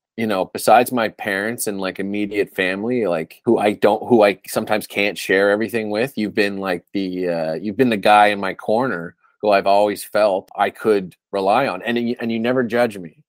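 A man's ordinary speaking voice with a Canadian accent, fairly low and fairly even, at a fairly quick pace with hardly any pauses, in a dry, close, echo-free sound on a very clean recording with a silent background. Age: 30s. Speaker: podcast host. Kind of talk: casual chat.

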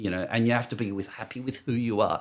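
Recorded very cleanly against a silent background, a man speaks at a medium pitch with an Australian accent. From Western Australia. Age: 50s. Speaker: professional poker player. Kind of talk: casual interview chat.

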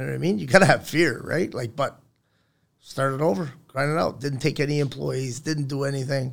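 A man talks fairly quickly at a fairly high pitch, with ordinary pitch variation. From Newfoundland, Canada. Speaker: construction business owner. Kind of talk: casual chat. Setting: studio. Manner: animated.

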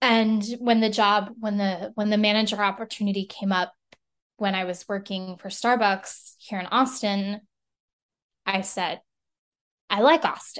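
Over a quiet background, a woman speaks with an American accent at medium pitch and a fairly slow pace. Her intonation is fairly even, and she leaves long, frequent pauses. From El Paso, Texas. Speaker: operations support worker. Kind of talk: casual chat. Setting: video call.

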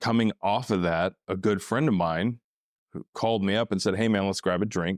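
Very deep and low, a man's voice carries an American accent at a moderate pace with fairly even intonation. The sound is dry and close with no echo, and the background is silent and very clean. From Northeast Texas. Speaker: former Marine, startup worker. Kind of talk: casual interview conversation.

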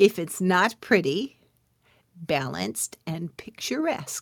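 A woman speaks in an animated tone at a fairly low pitch. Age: 60s. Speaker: podcast host and spiritual entrepreneur. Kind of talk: solo podcast monologue, inspirational talk. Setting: home recording, evening, with a cup of tea. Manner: animated, laughing often.

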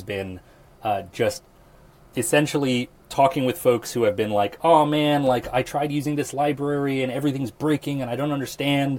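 This is a man speaking. He has a Midwestern accent. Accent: General American (Midwest). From Nebraska, US Midwest. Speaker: AI product lead, software engineer. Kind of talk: casual interview.

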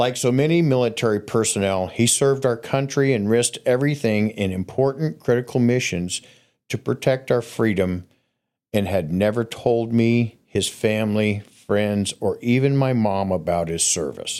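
This is a man with an unremarkable speaking voice at a medium pitch. He moves at a moderate pace with ordinary pitch variation. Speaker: storyteller guest. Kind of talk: storytelling.

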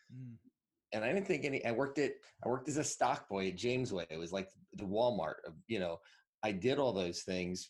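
Moderately paced male speech in an American accent, medium in pitch with very wide swings. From Northwest New Jersey, US. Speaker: digital marketing entrepreneur. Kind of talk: interview.

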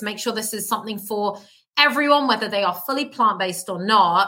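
Here a woman speaks with a British accent and a bright, sharp tone. Her intonation is lively and her pace moderate. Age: 30s. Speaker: plant-based health coach. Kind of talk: casual interview. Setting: remote call.

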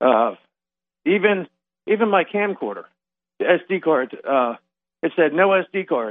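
Using lively intonation, a man speaks with an American accent. His pitch is high. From US East Coast, Delaware. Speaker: caller. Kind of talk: phone-in testimony. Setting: phone call. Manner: halting, many fillers.

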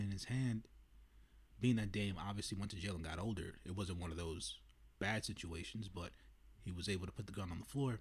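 Somewhat breathy and fairly low-pitched, a man talks at a fairly quick pace with ordinary pitch variation. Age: 30s. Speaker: movie review podcaster. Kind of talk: solo movie review monologue. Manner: casual, many filler words.

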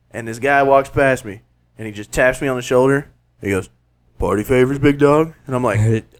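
Animated and with a Southern US accent, a man at medium pitch talks at a fairly quick pace with big swings in loudness. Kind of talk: casual chat.

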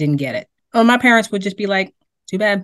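A woman speaks in an American accent, with the background quiet around her. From Boston. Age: 40s. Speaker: DJ and university staff. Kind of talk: casual chat.

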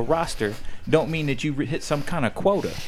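A man speaks with an American accent. He has a plain, everyday voice. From US. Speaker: pro wrestler. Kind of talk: casual chat.

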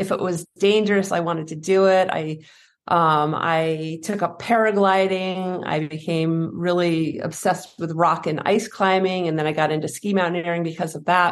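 The delivery comes at a moderate pace in a monotone, flat intonation. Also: woman. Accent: American. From US Northeast, New Hampshire. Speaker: fear and anxiety coach, former pro skier. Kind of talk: interview conversation.

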